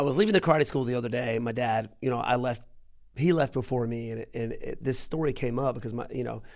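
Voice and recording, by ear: Speaking fast, a man uses a medium pitch with ordinary pitch variation and vocal fry.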